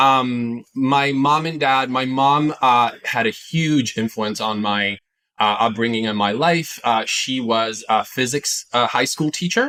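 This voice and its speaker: A man talks at a fairly slow pace with a slight Italian accent. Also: medium pitch for a man, ordinary pitch variation. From Italy, Milan area. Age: 40s. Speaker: entrepreneur and investor. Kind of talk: interview. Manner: hesitant with many fillers.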